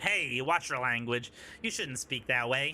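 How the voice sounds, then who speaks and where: A man does a put-on character voice, gruff and medium in pitch, at a moderate pace over clear background noise. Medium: game stream. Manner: pompous, gruff, blustering.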